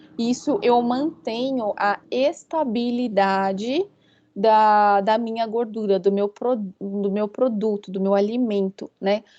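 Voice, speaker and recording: Very slow speech from a woman, fairly high in pitch, dark and mellow in tone, against a quiet background. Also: ordinary pitch variation. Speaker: university lecturer. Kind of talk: online lecture.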